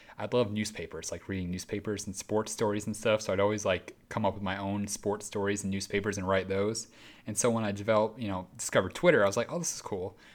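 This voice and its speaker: At a very fast pace, the voice keeps fairly even intonation on a very clean recording with a silent background. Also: man, fairly low pitch for a man. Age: 20s. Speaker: racing podcast host. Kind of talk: casual chat. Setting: home studio.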